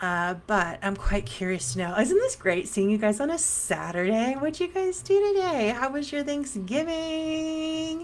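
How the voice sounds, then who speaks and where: A soft-spoken woman talks with a high pitch at a fairly slow pace. Her pitch swings very widely, and she hardly pauses. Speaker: psychic medium. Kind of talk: casual livestream chat. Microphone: new mic being tested.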